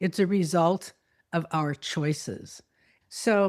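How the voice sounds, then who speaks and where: Speaking very slowly, a woman comes through. The recording is very clean, and the background is silent. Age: 80s+. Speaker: yoga teacher and producer. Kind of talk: interview testimony.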